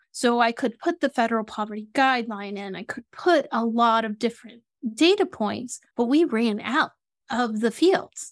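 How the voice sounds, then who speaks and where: In a very clean recording with a silent background and a dry, close sound with no echo, a woman speaks with a normal speaking voice at a moderate pace, in a fairly high pitch with ordinary pitch variation. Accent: American. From US South (Atlanta, Georgia). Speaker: Salesforce consultant for nonprofits. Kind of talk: interview.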